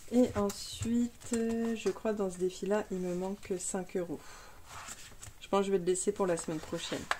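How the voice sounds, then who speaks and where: A woman speaks at medium pitch and a fairly slow pace. Her intonation is fairly even over noticeable background noise. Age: 30s. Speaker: budgeting youtuber. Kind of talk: casual tutorial.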